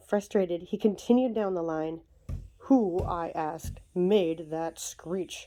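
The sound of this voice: The reading is done in an unforced reading voice with ordinary pitch variation.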